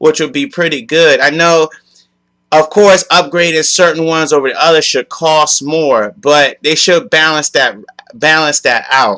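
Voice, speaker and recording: A loud man with a bright, sharp tone, fairly high pitch and moderate pace. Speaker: gaming youtuber. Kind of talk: video game commentary rant. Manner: calmer, lower volume than usual.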